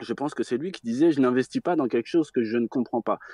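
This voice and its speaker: A normal speaking voice shows ordinary pitch variation. The sound is dry and close with no echo, over a quiet background. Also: man. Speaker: caller on live show. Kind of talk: debate call-in discussion. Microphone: connection dropped out.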